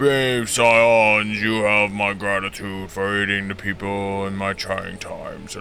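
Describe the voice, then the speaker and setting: A man's put-on character voice, fairly low-pitched and monotone, flat in intonation, at a fairly slow pace with hardly any pauses, over clear background noise. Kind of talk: formal, ceremonial. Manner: gracious, stately.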